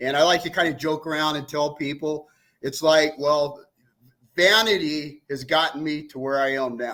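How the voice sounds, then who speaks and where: This man has a plain, everyday voice. His pitch is fairly high and his pace moderate. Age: 60s. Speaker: fitness coach. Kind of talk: casual chat.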